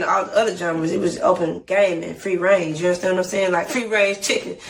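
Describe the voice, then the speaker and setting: A woman talks at a very fast pace with hardly any pauses. Noticeable background noise runs beneath her. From Atlanta, Georgia, US South. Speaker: singer and rapper. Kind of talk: interview. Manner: animated.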